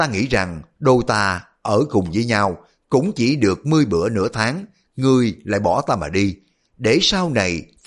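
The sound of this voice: Lively intonation runs through an unforced reading voice, heard against a quiet background.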